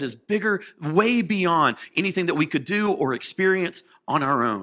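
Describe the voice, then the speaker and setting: A man speaks in a raised, projected voice, his tone bright, sharp and animated. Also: very clean recording, silent background. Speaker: preacher. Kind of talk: sermon.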